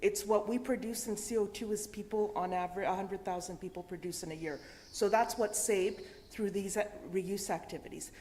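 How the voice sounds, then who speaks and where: A woman's medium-pitched voice with a dark, mellow tone, fairly even intonation and a fairly quick pace. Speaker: conference speaker on reuse networks. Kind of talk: presentation. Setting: event with audience and interpreters. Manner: halting.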